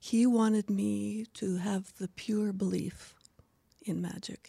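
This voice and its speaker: A woman with a medium pitch speaks in a somewhat breathy voice with fairly even intonation, the sound dry and close with no echo. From Scotland. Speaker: actress and local heritage advocate. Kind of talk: interview conversation.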